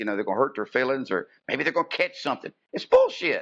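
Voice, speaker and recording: A man's fairly high-pitched voice against a quiet background. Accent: Appalachian. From West Virginia, outside Bluefield. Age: 60s. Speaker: wrestling ring announcer. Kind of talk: casual interview chat.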